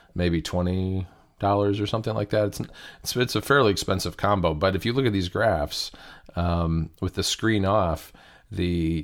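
A man with an American accent speaks at a moderate pace. His pitch is very deep and low, with ordinary variation. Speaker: podcast co-host. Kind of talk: casual chat.

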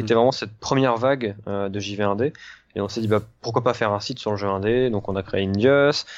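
Over a quiet background, a man speaks at a moderate pace. His pitch is fairly low. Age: 20s. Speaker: video game journalist. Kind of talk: casual interview.

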